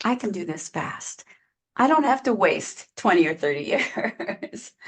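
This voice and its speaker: A somewhat breathy woman at a fairly high pitch, with very wide pitch swings and a fairly slow pace. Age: 60s. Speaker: online business coach. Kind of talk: interview conversation. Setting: podcast interview.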